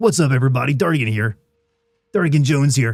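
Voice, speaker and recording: A man puts on a character voice at a medium pitch. He talks at a very fast pace. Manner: upbeat, energetic intro.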